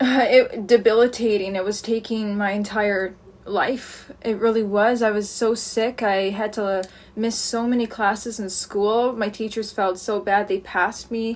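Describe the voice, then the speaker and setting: Talking fairly slowly, a woman keeps a monotone, flat intonation. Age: 20s. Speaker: streamer and vlogger. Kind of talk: personal testimony. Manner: halting.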